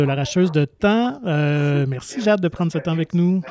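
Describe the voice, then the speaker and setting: A man speaks at a moderate pace with a high pitch and ordinary pitch variation. Noticeable background noise sits behind him. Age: 40s. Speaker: podcast host. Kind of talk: interview.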